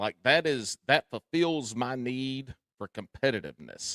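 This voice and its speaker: A man with a Southern US accent speaks at medium pitch with ordinary pitch variation. The sound is dry and close with no echo, on a very clean recording with a silent background. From US South, South Carolina. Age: 40s. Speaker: tournament angler, podcaster. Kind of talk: casual chat.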